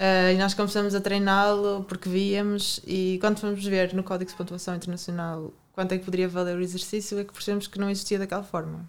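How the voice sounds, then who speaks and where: A woman talks at a fairly quick pace with hardly any pauses and monotone, flat intonation. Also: medium pitch for a woman. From Portugal, Porto. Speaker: Olympic gymnast and sports science student. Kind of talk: interview.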